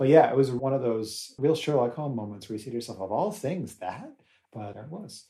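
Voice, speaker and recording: An unremarkable speaking voice with an American accent, lively intonation, and a fairly quick pace. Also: man, medium pitch for a man. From United States. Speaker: podcast co-host. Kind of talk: casual chat.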